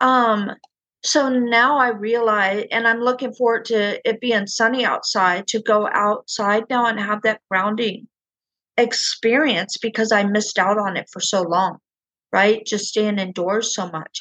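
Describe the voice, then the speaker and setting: Fairly slow and with fairly even intonation, a woman talks in an ordinary speaking voice at a fairly high pitch. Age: 50s. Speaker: podcast host and spiritual coach. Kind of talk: interview.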